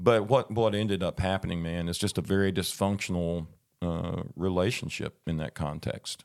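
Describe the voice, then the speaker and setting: A man with a Southern US accent, very deep and low in pitch, at a moderate pace with fairly even intonation. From southern Arkansas, US South. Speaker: guest sharing a personal faith story. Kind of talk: testimony. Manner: halting, many fillers and repeats.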